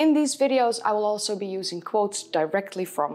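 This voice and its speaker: With lively intonation, a woman keeps to a moderate pace. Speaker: history video host. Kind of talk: commentary to camera. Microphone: lapel.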